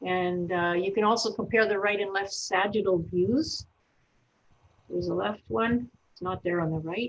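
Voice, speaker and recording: A woman speaks in a normal speaking voice at medium pitch, with ordinary pitch variation and a moderate pace. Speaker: veterinarian. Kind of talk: webinar presentation. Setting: online webinar.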